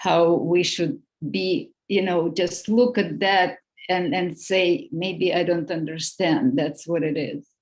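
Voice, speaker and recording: Speaking at a very slow pace, a woman with a non-native accent uses lively intonation at a fairly low pitch. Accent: noticeable foreign. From outside the US. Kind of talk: group discussion.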